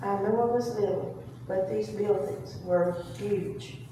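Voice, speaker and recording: A woman at a very slow pace, lively intonation, audible room echo and noticeable background noise. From US South, East Tennessee (Townsend area). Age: 80s+. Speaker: author and family historian. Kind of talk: presentation talk. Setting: reunion meeting with audience.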